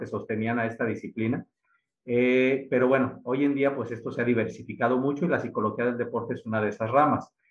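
Here a man with a Mexican accent talks at a medium pitch and a moderate pace. His intonation stays flat and monotone. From Mexico, Aguascalientes. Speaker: sports psychologist. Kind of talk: interview. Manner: halting, many fillers.

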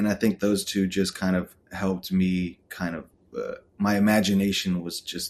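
A man with an American accent and an unremarkable speaking voice talks at a fairly low pitch and a moderate pace. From Texas, Austin. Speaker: photographer and director. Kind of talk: casual interview chat.

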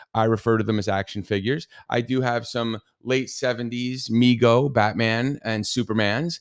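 A man with a New Jersey accent, medium pitch and a fairly slow pace, on a very clean recording with a silent background. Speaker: podcast host. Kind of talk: casual solo podcast chat. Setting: home studio. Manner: animated, talks with hands, humorous.

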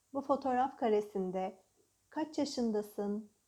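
Her tone dark and mellow, a woman speaks at a very slow pace with ordinary pitch variation. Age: 30s. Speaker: life coach. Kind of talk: guided coaching podcast.

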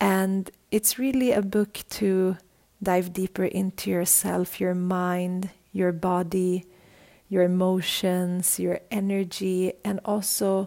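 With a dark, mellow tone and medium pitch, a woman speaks at a very slow pace with fairly even intonation. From Sweden. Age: 30s. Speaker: podcast host, yoga teacher. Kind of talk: casual chat. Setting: video call.

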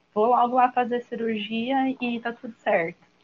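A woman is speaking here. Her voice is somewhat breathy and her pace fairly slow. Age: 30s. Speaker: teacher and new doula. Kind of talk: panel discussion.

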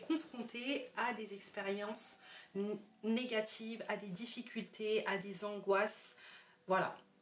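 The clip features an ordinary speaking voice from a woman. Her pitch is fairly high, with ordinary pitch variation. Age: young. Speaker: podcast host. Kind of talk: interview.

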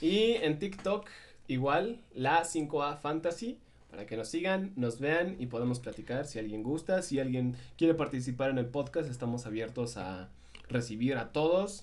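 His voice sits at a fairly high pitch for a man and swings very widely in pitch. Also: fairly slow pace. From Mexico City. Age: 20s. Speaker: podcast co-host. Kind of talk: casual chat. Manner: animated.

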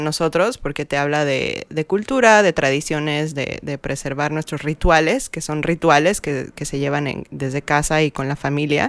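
On a very clean recording with a silent background, a woman with a very deep, low pitch speaks fairly slowly. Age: young. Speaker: podcast co-host. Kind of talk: casual chat.

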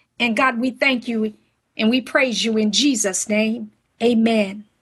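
A woman speaks very slowly in a high pitch against a quiet background. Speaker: prayer leader. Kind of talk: fervent prayer. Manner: fervent, pleading, repeating 'God' and 'Lord' between phrases.

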